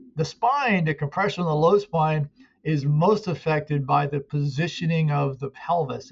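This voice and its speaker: A man speaks in a fairly high pitch. His voice is somewhat breathy. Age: 60s. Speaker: muscle pain therapist and coach. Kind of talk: interview.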